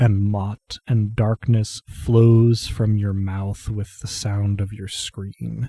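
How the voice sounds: Fairly even intonation in a natural reading voice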